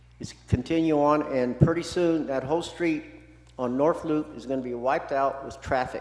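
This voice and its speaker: With an American accent, a man of fairly high pitch speaks at a moderate pace with fairly even intonation and big swings in loudness, over noticeable background noise. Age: 70s. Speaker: public commenter, resident. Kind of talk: public comment at city meeting. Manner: impassioned, repetitive.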